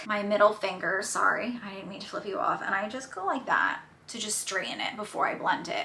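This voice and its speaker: Someone speaks with a strong New Jersey accent, with audible room echo and noticeable background noise. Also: woman. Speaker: beauty YouTuber. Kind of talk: makeup tutorial chat. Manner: casual, chatty with many fillers.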